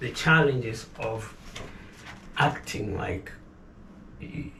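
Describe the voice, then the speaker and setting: Amid noticeable background noise and audible room echo, a man talks very slowly with lively intonation and long, frequent pauses. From Kenya. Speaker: business owner. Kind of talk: interview.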